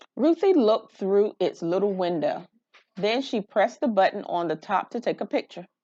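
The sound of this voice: A woman with a dark, mellow tone speaks at a medium pitch, her intonation lively. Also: moderate pace.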